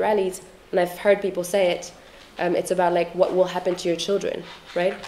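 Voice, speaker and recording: A woman at a medium pitch, monotone and flat in intonation, very fast in pace, over noticeable background noise. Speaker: activist and researcher. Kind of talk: lecture. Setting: stage with audience. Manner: hesitant, many fillers.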